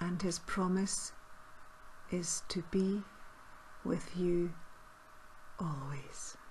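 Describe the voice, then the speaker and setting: Very slow pace from a woman with fairly low pitch, fairly even intonation, and long, frequent pauses. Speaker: meditation guide. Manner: slow, soft-spoken.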